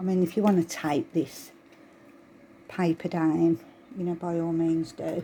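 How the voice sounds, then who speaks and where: A fairly low-pitched woman's voice with a Birmingham accent, dark and mellow in tone, at a fairly slow pace with fairly even intonation and long, frequent pauses. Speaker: crafting tutorial creator. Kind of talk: tutorial. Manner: casual, chatty.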